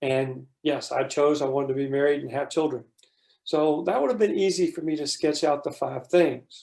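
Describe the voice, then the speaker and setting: With an American accent, a man talks at a moderate pace in a dark, mellow tone, his fairly high pitch showing ordinary variation. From US South. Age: 60s. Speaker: workshop presenter. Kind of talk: workshop facilitation.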